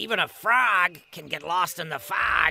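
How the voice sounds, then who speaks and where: This is a put-on character voice. Faint music plays in the background. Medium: read story.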